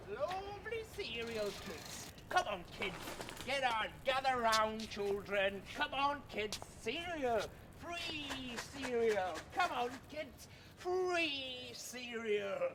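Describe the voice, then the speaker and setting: A man puts on a character voice at an extremely high pitch, raised and projected. He speaks at a very slow pace over clear background noise. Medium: comedy sketch. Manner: loud, excitable.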